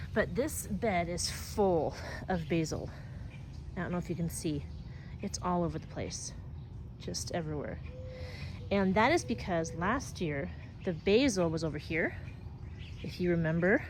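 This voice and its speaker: A woman speaks at a moderate pace with long, frequent pauses, and audible room echo fills the recording. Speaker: home gardener vlogger. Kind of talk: casual garden tour. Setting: outdoors in garden. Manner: animated.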